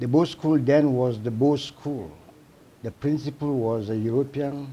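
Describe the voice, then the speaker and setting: A man with a Sierra Leonean accent, dark, mellow tone at medium pitch, ordinary pitch variation, fairly slow pace. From Sierra Leone, Port Loko. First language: Temne. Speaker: psychiatrist. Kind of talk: interview.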